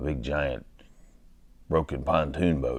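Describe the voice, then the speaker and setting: A man's monotone, flat intonation with vocal fry. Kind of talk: comedic rambling anecdote.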